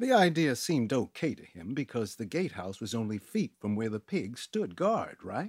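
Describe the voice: The speaker gives a plain reading aloud.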